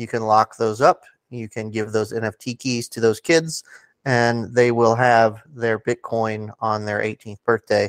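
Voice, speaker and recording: In an ordinary speaking voice, a man talks at a fairly slow pace at medium pitch with fairly even intonation. The sound is dry and close with no echo, on a very clean recording with a silent background. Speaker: crypto community ambassador. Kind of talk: casual interview chat.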